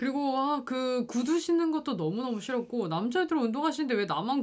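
A woman speaks in a high voice. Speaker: podcast host. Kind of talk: casual chat.

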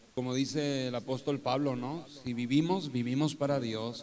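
Audible room echo surrounds a man who talks at a medium pitch and a fairly slow pace. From northern Mexico (Torreón, Coahuila). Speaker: pastor. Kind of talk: testimony in a live church interview. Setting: live event with audience, streamed.

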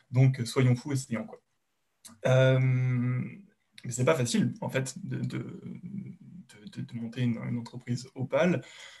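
Speaking very slowly at a medium pitch, a man leaves long, frequent pauses, his voice somewhat breathy with ordinary pitch variation. His loudness swings widely. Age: 20s. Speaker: software engineer. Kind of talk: casual interview. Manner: halting, many fillers and repetitions.

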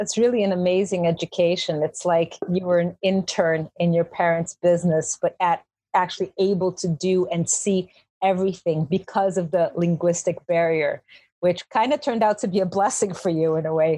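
The pace is moderate and the loudness very even. The sound is dry and close with no echo, over a quiet background. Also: woman. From Brazilian family, grew up in Chicago, now lives in Ireland. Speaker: podcast host. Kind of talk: interview.

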